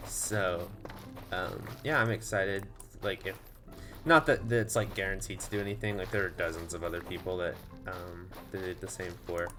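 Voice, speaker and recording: A man with an American accent and a very deep, low pitch, at a moderate pace with ordinary pitch variation, long, frequent pauses and music in the background. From Texas. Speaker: gaming streamer. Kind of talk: casual chat. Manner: hesitant, many fillers.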